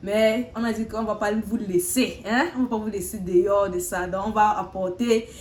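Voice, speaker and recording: Noticeable background noise sits behind a woman's medium-pitched voice. She keeps a moderate pace with ordinary pitch variation. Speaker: talk show host. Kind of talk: casual chat. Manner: halting.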